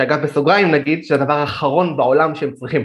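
He has an unremarkable speaking voice, a fairly high pitch for a man, and a moderate pace. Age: 30s. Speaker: digital marketer. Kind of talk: podcast interview.

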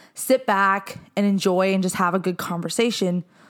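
A woman speaks at a medium pitch in an unremarkable speaking voice. Her intonation is fairly even. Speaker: podcast host. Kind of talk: casual chat. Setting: living room at home.

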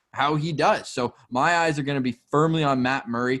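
A man speaks in a plain, everyday voice, fairly high in pitch with ordinary pitch variation. His pace is moderate, and the recording is very clean with a silent background. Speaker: sports podcast host. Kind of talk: casual chat.

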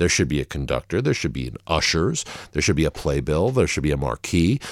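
Very wide pitch swings and vocal fry run through this fairly quick delivery, captured in a very clean, dry, close recording with a silent background and no echo. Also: man. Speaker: jazz violinist and music educator. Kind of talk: interview, conversational storytelling. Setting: in-person interview. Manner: casual, with many fillers and restarts.

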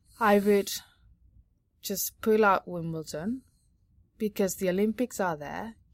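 Heard in a dry, close sound with no echo on a very clean recording with a silent background, the speaker has a Spanish accent and ordinary pitch variation. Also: woman. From Catalonia, Spain. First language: Spanish or Catalan. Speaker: sports journalist. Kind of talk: casual chat. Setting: on location at a tennis tournament.

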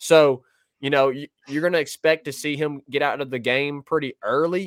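Here is a man with a normal speaking voice, pitched fairly high, at a moderate pace. His intonation stays fairly even, and the sound is dry and close with no echo. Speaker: sports podcast co-host. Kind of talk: casual sports talk. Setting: remote video stream.

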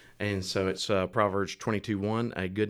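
In a very deep, low pitch, a man talks at a fairly quick pace with monotone, flat intonation. The recording is very clean, and the background is silent. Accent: Alabama. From Alabama, US South. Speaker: restaurant franchise owner. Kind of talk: casual interview chat. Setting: studio.

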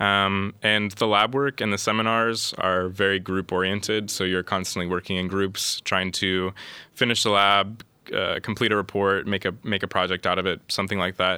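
A man speaks at a moderate pace in a Midwestern American accent, his pitch fairly low and his tone bright and sharp. His intonation is flat and monotone, his loudness very even, and the recording very clean with a silent background. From US Midwest, Columbus, Ohio. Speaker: master's student. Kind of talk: casual interview chat.

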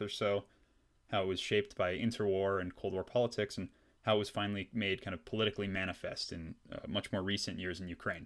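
A man with a Canadian accent speaks very fast at a fairly low pitch, in a very clean recording with a silent background. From British Columbia, Canada. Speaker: history podcast host. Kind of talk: scripted narration. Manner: casual with frequent fillers.

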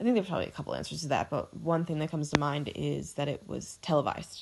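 Her pitch very deep and low, a woman talks at a very fast pace with vocal fry. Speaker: podcast co-host. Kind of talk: casual chat.

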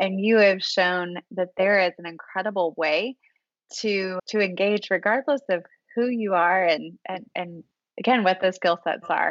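An unremarkable speaking voice: a woman at medium pitch, fairly slow, with ordinary pitch variation. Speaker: podcast co-host and co-founder. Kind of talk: interview, podcast host.

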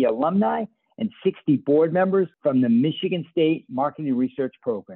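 Here is a man with an unremarkable speaking voice, pitched fairly high. He talks at a moderate pace with lively intonation. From Boston, US. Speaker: podcast host, research company CEO. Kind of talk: interview.

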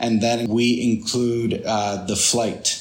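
Noticeable background noise sits behind this man's voice. His pitch is medium and his intonation fairly even. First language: Spanish. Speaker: tour guide and photographer. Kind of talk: casual interview. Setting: video call.

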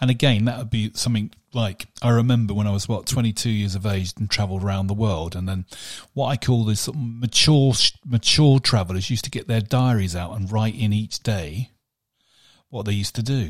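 A somewhat breathy man's voice, fairly low in pitch with ordinary pitch variation, at a fairly quick pace on a very clean recording with a silent background. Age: 50s. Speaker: podcast co-host. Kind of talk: casual chat.

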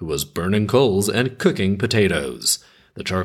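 A natural voice reading aloud, its pitch varying an ordinary amount

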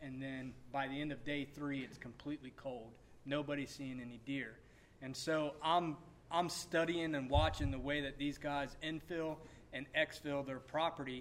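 With an American accent, a man with a fairly high pitch and a plain, everyday voice speaks at a moderate pace and with fairly even intonation. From South Carolina. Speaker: hunter on a panel. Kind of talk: panel Q&A. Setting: stage with audience.

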